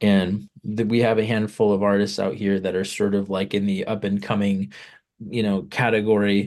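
With an American accent, a man speaks in a normal speaking voice at a fairly low pitch and with fairly even intonation against a quiet background. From California. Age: 30s. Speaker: musician. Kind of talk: interview. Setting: video call.

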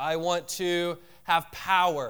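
This is a man speaking. His pitch is high. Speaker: pastor. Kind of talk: sermon. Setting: church. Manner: casual, filler-heavy.

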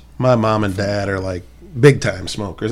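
A plain, everyday voice from a man with an American accent, fairly low in pitch, at a moderate pace with ordinary pitch variation. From North County, St. Louis, Missouri. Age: 30s. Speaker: tattoo artist and podcast co-host. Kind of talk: casual chat.

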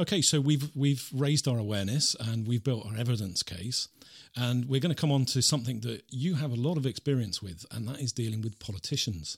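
The man's voice is somewhat breathy and medium-pitched. He moves at a fairly quick pace with ordinary pitch variation. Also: very clean recording, silent background. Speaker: radio host. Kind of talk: interview.

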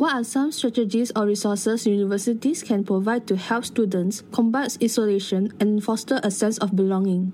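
Over noticeable background noise, a woman talks fairly quickly with hardly any pauses, very even loudness and fairly even intonation. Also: fairly high pitch for a woman. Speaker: podcast host. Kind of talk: scripted interview. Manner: formal.

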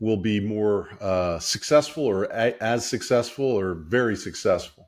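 A man with an unremarkable speaking voice talks at a fairly slow pace, medium pitch and ordinary pitch variation. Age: 60s. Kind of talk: interview, then lecture-style explanation.

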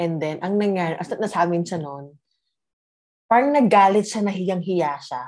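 A woman's ordinary speaking voice, medium in pitch, with lively intonation at a moderate pace. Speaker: guest sharing relationship story. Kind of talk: casual chat, personal story.

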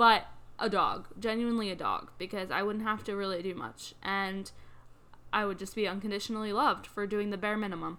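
Speaking at a fairly quick pace, a woman uses a bright, sharp tone, medium pitch and fairly even intonation. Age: 20s. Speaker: podcast guest, host's fiancee. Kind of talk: casual chat.

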